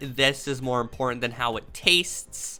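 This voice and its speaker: A woman speaks with music in the background. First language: not English. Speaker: streamer / content creator. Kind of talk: casual commentary while taking a quiz. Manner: halting, stuttering restarts; animated.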